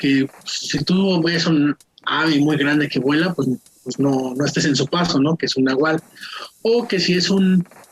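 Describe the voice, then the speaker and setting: Noticeable background noise behind a woman with a very deep, low pitch, ordinary pitch variation, and a fairly slow pace. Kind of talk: telling a personal paranormal story. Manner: casual, conversational.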